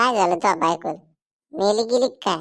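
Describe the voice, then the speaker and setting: A cartoonish character voice, female-sounding, at a middle pitch. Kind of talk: rural Marathi cartoon comedy. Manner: blunt, joking.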